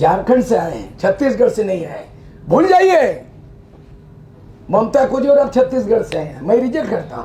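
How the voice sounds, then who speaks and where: Against noticeable background noise, a man with an extremely high pitch talks at a fairly slow pace, his voice making very wide pitch swings and big swings in loudness, broken by long, frequent pauses. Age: 70s. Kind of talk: public speech.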